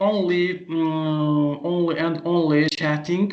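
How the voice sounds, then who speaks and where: Audible room echo surrounds a man as he speaks. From Azerbaijan. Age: 30s. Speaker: language teacher. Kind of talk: interview. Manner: halting, many fillers.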